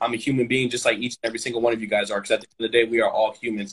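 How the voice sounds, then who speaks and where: A man speaks at a medium pitch with an American accent. His intonation stays fairly even. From Sacramento, California (Antelope, North Highlands). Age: young. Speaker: high school basketball coach. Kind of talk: casual interview conversation. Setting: live stream.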